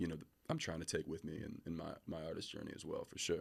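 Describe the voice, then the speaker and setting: Very deep and low in pitch yet bright and sharp in tone, a man speaks at a very fast pace with an American accent. The recording is very clean, with a silent background. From Philadelphia, US. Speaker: R&B singer. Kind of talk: interview. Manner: hesitant, many fillers.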